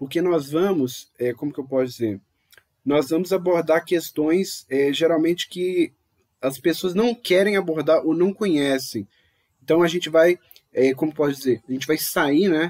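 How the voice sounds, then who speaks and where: In a plain, everyday voice, a man talks at a fairly high pitch and a moderate pace with ordinary pitch variation, in a dry, close sound with no echo. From Brazil. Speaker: podcast host. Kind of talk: casual podcast discussion.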